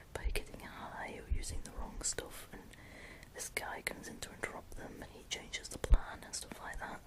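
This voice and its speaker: Whispering at a moderate pace, over noticeable background noise. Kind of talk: casual chat about movies. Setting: home, late at night. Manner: whispered.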